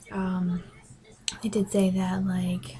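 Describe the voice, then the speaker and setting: A quiet woman's voice over noticeable background noise. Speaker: pregnancy vlogger. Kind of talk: casual vlog. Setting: bedroom at home. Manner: hesitant, many ums.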